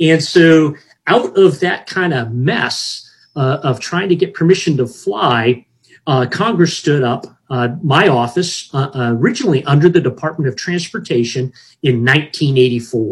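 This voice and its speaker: Somewhat breathy and fairly high in pitch, a man speaks at a very slow pace with lively intonation. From Hawaii. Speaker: federal space regulator, retired air force officer. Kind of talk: interview. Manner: halting.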